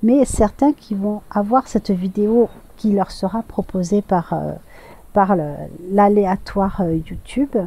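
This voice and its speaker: Ordinary pitch variation colors a dark, mellow tone delivered at a very slow pace. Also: woman, medium pitch for a woman. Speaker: tarot and oracle card reader. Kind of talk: channeled guidance message. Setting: outdoors. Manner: hesitant, many fillers.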